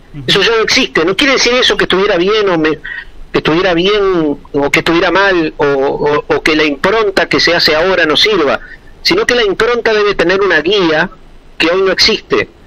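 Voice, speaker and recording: A man with a high pitch and a raised, projected voice talks fairly quickly, with ordinary pitch variation and very even loudness, against noticeable background noise. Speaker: commercial announcer. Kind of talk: interview answer. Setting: phone line. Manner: talkative.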